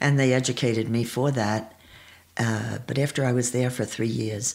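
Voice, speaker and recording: A woman speaks in a New York accent with a very deep, low pitch. Her intonation is monotone and flat, her loudness very even, and her pace moderate. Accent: New York American. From New York, Pelham (Westchester). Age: 80s+. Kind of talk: interview.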